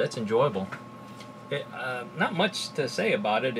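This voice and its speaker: With an American accent, the speaker talks at a moderate pace with very wide pitch swings over noticeable background noise. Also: man. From South Texas. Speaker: YouTuber reviewing drinks. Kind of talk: casual vlog tasting. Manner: casual, many fillers and hesitations. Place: home room.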